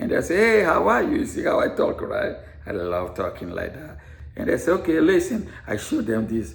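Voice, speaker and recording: Here a man with an African accent speaks in an animated tone. Room echo is audible around him. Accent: foreign (African). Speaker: veteran and author, former teacher. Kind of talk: personal vlog monologue. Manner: repetitive, stammering at times.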